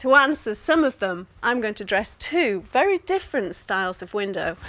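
A woman speaks in a bright, sharp, upbeat tone at a moderate pace. Her pitch swings very widely and her loudness shifts a lot. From UK. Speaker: interior designer and TV presenter. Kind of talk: corporate customer advice presentation to camera. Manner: friendly, chatty, upbeat. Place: studio. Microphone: lapel.

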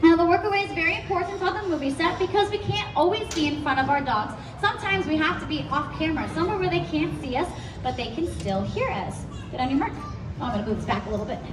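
Very wide pitch swings at a very fast pace over noticeable background noise. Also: woman, high pitch for a woman. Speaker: animal trainer show host. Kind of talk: live show presentation. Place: stage.

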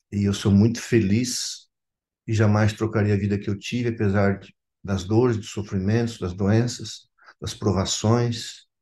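A fairly low, somewhat breathy male voice, monotone and flat, at a fairly slow pace. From Santa Catarina highlands, Brazil, German colony. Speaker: pastor. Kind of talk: testimony. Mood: earnest, reflective. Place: home room. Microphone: video call.

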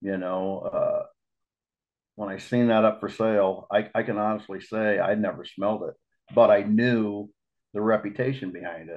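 Fairly slow speech from a man with a fairly low voice and an American accent, against a quiet background. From Iowa. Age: 50s. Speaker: lure maker and trap builder; podcast guest. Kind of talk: casual chat. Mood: relaxed storytelling. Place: home room. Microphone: video call.

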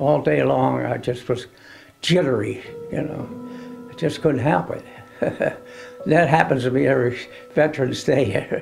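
Faint music plays in the background as a man with an American accent speaks at a fairly slow pace, with long, frequent pauses. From United States. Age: 80s+. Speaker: war veteran. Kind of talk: interview answer. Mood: somber, reflective. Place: home room.

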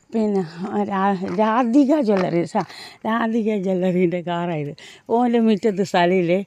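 A woman speaks over noticeable background noise. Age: 50s. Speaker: vlogger. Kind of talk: walking vlog. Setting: outdoors.

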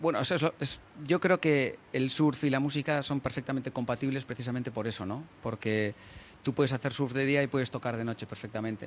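Light background noise sits behind a man speaking in a normal speaking voice. He talks at a fairly quick pace. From Getxo area, Basque Country, Spain (English parents); Basque Country, Spain. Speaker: singer and songwriter in a band. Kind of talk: interview. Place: waterside. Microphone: handheld.

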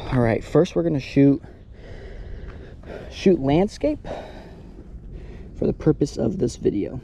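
A man speaks over light background noise, the sound dry with no echo. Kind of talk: tutorial. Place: street.

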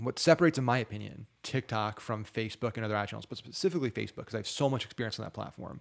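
At a very fast pace, a man talks with vocal fry. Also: ordinary pitch variation, quiet background. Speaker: online marketing tutor; ad marketing creator. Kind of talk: screen-share tutorial; tutorial. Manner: casual with filler words. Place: home room. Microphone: studio mic.

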